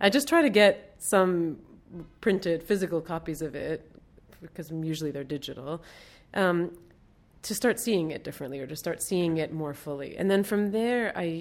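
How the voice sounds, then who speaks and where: In a very clean recording with a silent background, a woman with a Mid-Atlantic American accent talks at a moderate pace and a fairly low pitch, with ordinary pitch variation and big swings in loudness. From US, Baltimore. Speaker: artist and art teacher. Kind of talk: casual interview. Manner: hesitant, many fillers.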